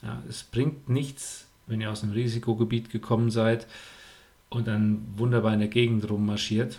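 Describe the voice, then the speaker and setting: Speaking at a moderate pace, a man with a medium pitch and a dark, mellow tone sounds somewhat breathy, his intonation monotone and flat. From Germany. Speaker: triathlon coach and podcast host. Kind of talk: podcast monologue with advice. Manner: casual, frequent filler sounds.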